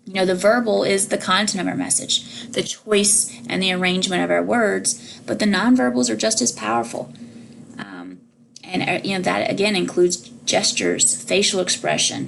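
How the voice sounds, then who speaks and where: A woman talks at a moderate pace amid noticeable background noise. Room echo is audible. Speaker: college instructor. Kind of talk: lecture. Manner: loud.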